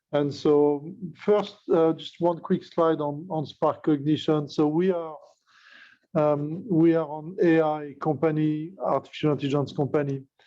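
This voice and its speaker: Speaking fairly slowly with a French accent, a man keeps a fairly high pitch and fairly even intonation. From France. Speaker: tech company executive. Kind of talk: webinar presentation. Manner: halting, many fillers.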